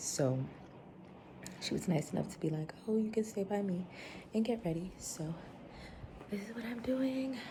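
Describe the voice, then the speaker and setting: Speaking at a moderate pace with long, frequent pauses, the voice swings very widely in pitch amid audible room echo. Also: woman. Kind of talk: vlog. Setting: friend's home. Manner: quiet.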